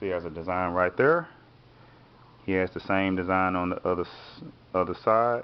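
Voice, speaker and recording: A man's very deep, low voice with fairly even intonation and long, frequent pauses. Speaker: art teacher. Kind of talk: tutorial. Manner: fast; casual.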